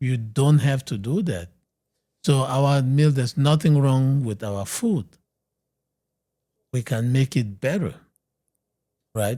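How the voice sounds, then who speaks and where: A man's somewhat breathy, dark, mellow voice at a fairly slow pace, with ordinary pitch variation, on a very clean recording with a silent background. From Cameroon. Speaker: medical doctor, weight loss expert. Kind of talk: podcast interview.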